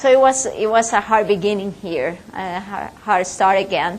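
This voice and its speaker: A woman with a Spanish accent at a moderate pace, with audible room echo and noticeable background noise. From Colombia and Ecuador. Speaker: business owner and speaker. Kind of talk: guest lecture. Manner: halting, many fillers.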